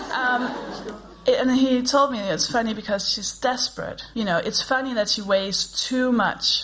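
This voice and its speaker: With a Danish accent and a high pitch, a woman speaks fairly slowly with ordinary pitch variation over noticeable background noise. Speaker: comedian and podcast co-host. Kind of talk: live comedy podcast chat. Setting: stage with live audience.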